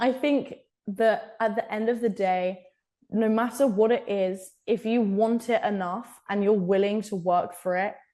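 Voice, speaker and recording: With an English accent, a woman speaks fairly slowly at a fairly high pitch in a dark, mellow tone against a quiet background. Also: ordinary pitch variation. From England. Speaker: college rowing athlete. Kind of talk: podcast interview.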